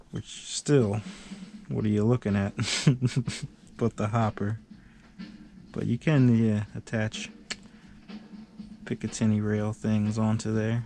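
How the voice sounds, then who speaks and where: A man mumbles in a fairly low pitch with a dark, mellow tone and monotone, flat intonation. He goes at a fairly slow pace, leaving long, frequent pauses. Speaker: hobbyist video maker. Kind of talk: casual chat. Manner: mumbling.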